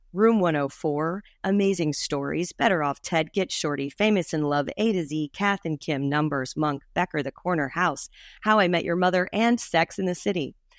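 A fairly low-pitched woman's voice in a Southern US accent, ordinary pitch variation and a moderate pace, with a dry, close sound with no echo and a quiet background. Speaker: podcast host, dramaturg. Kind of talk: scripted intro.

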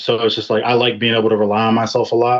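This man has an American accent and a medium pitch. His delivery is fairly quick and monotone, with flat intonation. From Virginia. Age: 20s. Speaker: R&B singer. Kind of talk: interview.

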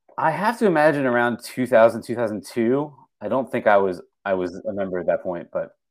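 In a very clean recording with a silent background, a man uses an ordinary speaking voice. His medium pitch carries lively intonation at a moderate pace. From southeastern Pennsylvania (west of Philadelphia). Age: 40s. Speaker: writer and menswear enthusiast. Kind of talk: casual chat.

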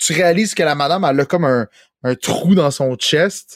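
In a Quebec accent, a man speaks at a moderate pace with very wide pitch swings, in a dry, close recording with no echo. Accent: Québécois French. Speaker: video game podcast host. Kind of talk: casual chat.

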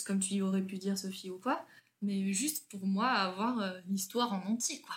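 At a medium pitch and moderate pace, a woman talks in a somewhat breathy voice with ordinary pitch variation. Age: 20s. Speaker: school teacher. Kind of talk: casual chat.

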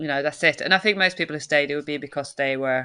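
A woman with a Swedish accent speaks in a very deep, low voice with a bright, sharp tone against a quiet background. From Sweden. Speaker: circus choreographer and director. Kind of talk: interview conversation.

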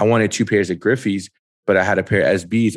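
A man with a New York accent talks at a very fast pace in a monotone, flat intonation, recorded very cleanly against a silent background. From Brooklyn, New York. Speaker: sneaker show host. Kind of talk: casual chat.

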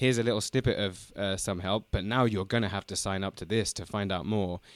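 A man with a London accent, fairly low pitch and ordinary pitch variation, dry and close with no echo on a very clean recording with a silent background. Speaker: podcaster.

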